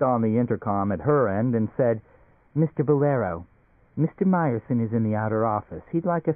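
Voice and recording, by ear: A natural voice reading aloud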